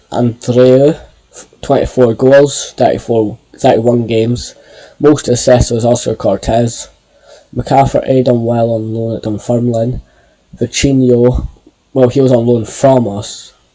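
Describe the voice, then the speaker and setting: A man talks at a fairly slow pace in a medium pitch. His tone is dark and mellow, with monotone, flat intonation. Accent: Scottish. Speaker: football video game YouTuber. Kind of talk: gameplay commentary. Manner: stuttering.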